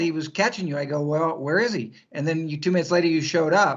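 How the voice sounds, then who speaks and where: At a fairly quick pace comes an ordinary speaking voice. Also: man. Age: 60s. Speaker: trail runner. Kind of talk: casual chat.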